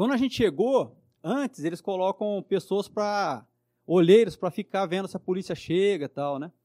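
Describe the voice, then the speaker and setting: Recorded very cleanly with a silent background and a dry, close sound with no echo, a man speaks at a moderate pace in a high pitch, his tone dark and mellow and his loudness swinging widely. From Brazil, São José do Rio Preto (São Paulo state). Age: 50s. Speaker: police officer. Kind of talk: interview.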